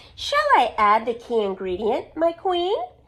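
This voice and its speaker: A woman puts on a character voice, high-pitched and full of very wide pitch swings. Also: moderate pace. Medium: read story. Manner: sneering, snickering.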